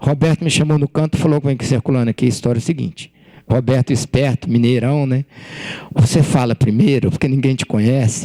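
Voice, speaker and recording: A man with a fairly high pitch and a dark, mellow tone speaks in a dry, close sound with no echo. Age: 60s. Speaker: writer and former journalist. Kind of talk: author talk to students.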